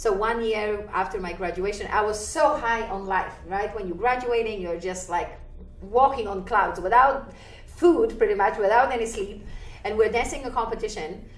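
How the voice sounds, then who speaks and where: Audible room echo follows a woman as she talks at a moderate pace. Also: fairly high pitch for a woman, ordinary pitch variation. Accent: Polish. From Poland. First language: Polish. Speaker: ballroom dancer and dance teacher. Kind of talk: interview. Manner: animated.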